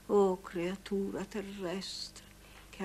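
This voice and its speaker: A woman at medium pitch, very slow pace and monotone, flat intonation, with light background noise. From Italy. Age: 80s+. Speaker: stage actress. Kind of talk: poetry reading. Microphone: old recording.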